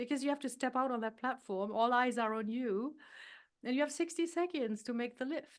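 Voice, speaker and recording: A woman with a high pitch talks over a quiet background. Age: 60s. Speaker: weightlifter and health coach. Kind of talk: podcast interview. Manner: animated.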